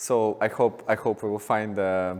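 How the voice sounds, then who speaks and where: A man with a Russian accent at a fairly low pitch. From Russia, Moscow. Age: 30s. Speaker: artist. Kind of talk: lecture. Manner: halting, many repetitions and fillers.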